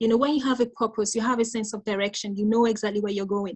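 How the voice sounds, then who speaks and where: The background is quiet as a woman speaks at a fairly high pitch. Her voice is somewhat breathy, and her intonation stays fairly even. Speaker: mental health nurse and life coach giving a talk. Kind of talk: interactive conference talk. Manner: teacher-like.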